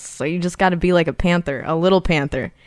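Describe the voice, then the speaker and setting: With an American accent, a woman speaks at a fairly quick pace and fairly low pitch. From Irvine, California. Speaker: singer-songwriter. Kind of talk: interview.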